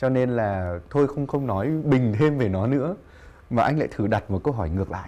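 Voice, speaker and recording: A man with a dark, mellow tone speaks at a fairly slow pace with lively intonation. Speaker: talk show host. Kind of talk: interview. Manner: formal. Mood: warm, amused. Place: studio.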